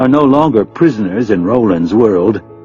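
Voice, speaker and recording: Music plays in the background. A man speaks at a medium pitch with lively intonation. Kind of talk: audiobook narration.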